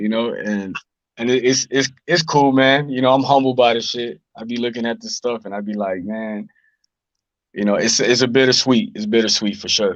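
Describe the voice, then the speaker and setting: Here a man speaks at medium pitch with ordinary pitch variation. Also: moderate pace. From Chicago, US. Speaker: rapper. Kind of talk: casual interview. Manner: halting, many repetitions.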